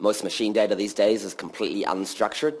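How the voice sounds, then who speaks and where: A man with a New Zealand accent and ordinary pitch variation. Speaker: developer evangelist. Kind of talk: conference talk. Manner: casual, many filler ums.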